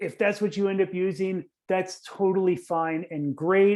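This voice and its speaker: The speaker talks at a moderate pace against a quiet background. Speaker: university instructor. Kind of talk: recorded lecture.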